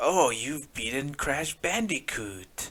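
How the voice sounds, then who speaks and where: Using a put-on character voice, a man talks at a fairly high pitch. He goes at a very slow pace. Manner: serious, psychotic.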